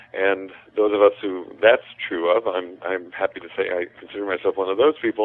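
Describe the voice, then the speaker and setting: This man has an unremarkable speaking voice, pitched fairly low with ordinary variation. He talks at a fairly quick pace. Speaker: psychotherapist and author. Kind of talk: podcast interview. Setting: phone call.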